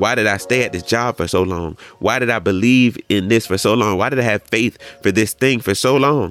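A man talks fairly quickly at medium pitch with ordinary pitch variation. He has an unremarkable speaking voice. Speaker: preacher. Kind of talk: sermon on a Bible passage, teaching and exhorting a congregation. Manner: conversational, warm and encouraging, with filler words and laughter.

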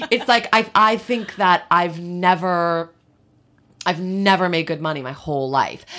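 A bright, sharp tone with an American accent and ordinary pitch variation, over a quiet background. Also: woman, fairly low pitch for a woman, fairly slow pace. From US, suburban town near New York. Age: 40s. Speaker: comedian. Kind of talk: casual chat.

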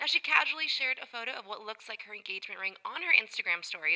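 Noticeable background noise accompanies a woman speaking fairly quickly. Her high, upbeat voice has very wide pitch swings. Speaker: music radio show host. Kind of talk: music show presenting.

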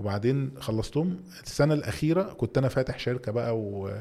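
The man's voice has a dark, mellow tone. It sits at a medium pitch. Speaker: entrepreneur and CEO. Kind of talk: interview.

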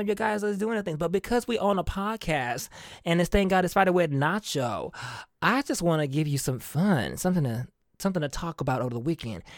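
Very fast, animated speech with very wide pitch swings, in a very clean recording with a silent background. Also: man. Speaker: podcast host. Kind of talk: casual solo monologue.

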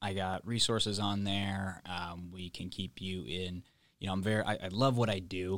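A man's unremarkable speaking voice, fairly low in pitch, with fairly even intonation, on a very clean recording with a silent background. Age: 30s. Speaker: business coach. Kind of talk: casual panel discussion. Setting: studio.

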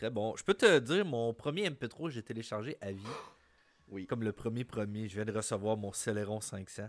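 A man with a medium pitch talks at a moderate pace with ordinary pitch variation, in a normal speaking voice. The recording is very clean, with a silent background. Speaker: guest friend. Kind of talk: casual chat.

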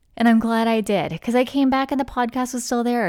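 A woman with a normal speaking voice in a General American accent, fairly high in pitch with ordinary pitch variation, on a very clean recording with a silent background. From US, military family moving often. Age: 40s. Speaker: podcast host, life coach. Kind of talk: casual solo monologue. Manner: relaxed, laughs often.

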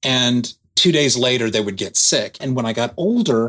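The man's voice is at a medium pitch and has ordinary pitch variation. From Texas, Dallas. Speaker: author. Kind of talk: interview storytelling. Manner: halting with fillers.

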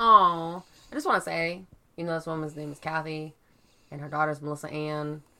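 Playful in tone, a woman with a very deep, low pitch talks at a fairly quick pace with fairly even intonation, big swings in loudness, and long, frequent pauses. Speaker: true crime podcast co-host. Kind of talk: casual chat over drinks. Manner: giggly, playful.

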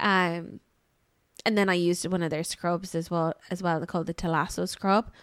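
A woman speaks with an Irish accent. Her pitch sits in the medium range. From Ireland. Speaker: podcast co-host, marketing agency. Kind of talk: casual chat. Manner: animated.

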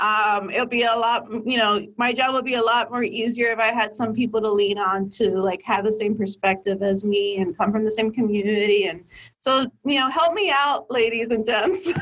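Barely pausing, a woman talks at a fairly high pitch with ordinary pitch variation in a normal speaking voice. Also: moderate pace, very even loudness. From Miami, Florida (Dominican family). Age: 20s. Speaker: political fundraiser. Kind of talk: casual interview.

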